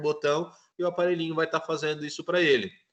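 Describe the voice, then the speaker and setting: A man at a fairly quick pace, his tone bright and sharp. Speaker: physiotherapy student presenting. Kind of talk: class presentation.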